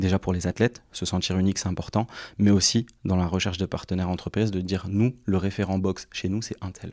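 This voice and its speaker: A man's very deep, low voice, very fast and monotone and flat in intonation, in a very clean recording with a silent background. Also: dry, close sound with no echo. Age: 20s. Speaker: sports agency founder. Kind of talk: interview.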